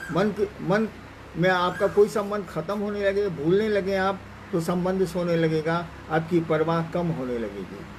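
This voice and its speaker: A man's high voice with fairly even intonation over noticeable background noise. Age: 70s. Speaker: spiritual teacher. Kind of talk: spiritual discourse. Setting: online live stream.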